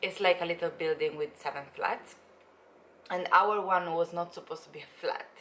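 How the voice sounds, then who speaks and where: Her voice sits fairly low for a woman, and her intonation is monotone and flat. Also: moderate pace, big swings in loudness. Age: 20s. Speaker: travel vlogger. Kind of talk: casual vlog chat. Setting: at home, filming video. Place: home room. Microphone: phone near.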